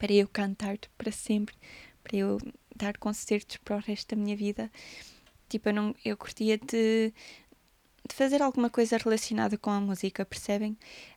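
A woman speaks at a moderate pace with a European Portuguese accent, her fairly high voice flat and monotone, broken by long, frequent pauses. The recording is very clean with a silent background, and the sound is dry and close with no echo. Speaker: podcaster and musician. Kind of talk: casual monologue.

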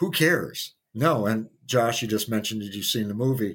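A man with an American accent and an ordinary speaking voice talks at a medium pitch and a moderate pace. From US Midwest. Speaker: pinball player. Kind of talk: interview.

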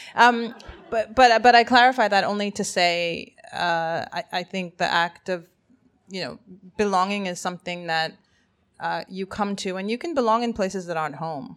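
An ordinary speaking voice, this woman's medium pitch shows ordinary pitch variation at a moderate pace in a very clean recording with a silent background. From Zambia, Kenya and Canada. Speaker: writer. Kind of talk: live panel discussion. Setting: stage with audience.

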